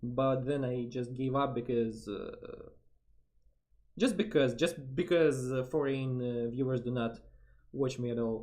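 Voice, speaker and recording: A man speaks with a Russian accent at a medium pitch. His pace is fairly slow, with long, frequent pauses. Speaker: vtuber streamer. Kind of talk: casual chat. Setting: live stream collab. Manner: halting.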